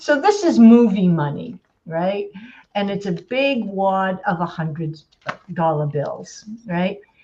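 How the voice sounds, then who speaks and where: Speaking very slowly, a woman has a medium pitch and a dark, mellow tone that is somewhat breathy. Her intonation is lively. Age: 60s. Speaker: life coach. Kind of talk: group coaching discussion.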